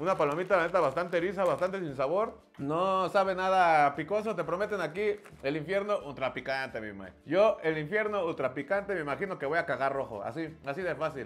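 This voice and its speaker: A man with a Mexican accent, high in pitch, animated in tone, at a fairly quick pace with ordinary pitch variation and hardly any pauses. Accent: Mexican Spanish, colloquial. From Mexico. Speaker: comedian and YouTuber. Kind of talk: casual comedic taste-test vlog with slangy, joking banter and promo pitch. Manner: animated, fast, jokey; slangy, profanity-laden. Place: studio.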